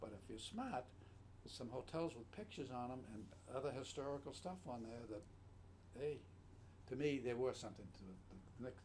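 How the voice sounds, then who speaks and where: A somewhat breathy man speaks at a moderate pace with lively intonation and long, frequent pauses, his voice carrying audible room echo. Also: medium pitch for a man. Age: 80s+. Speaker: matchcover collector. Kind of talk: casual chat. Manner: halting.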